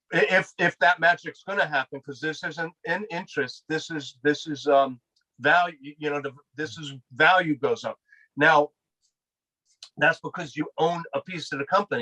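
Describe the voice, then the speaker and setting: A man with an American accent and a high pitch speaks at a moderate pace in a bright, sharp tone, with fairly even intonation, big swings in loudness, and a dry, close sound with no echo. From US East Coast. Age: 60s. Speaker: regenerative farmer. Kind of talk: interview. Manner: repetitive, stammering restarts.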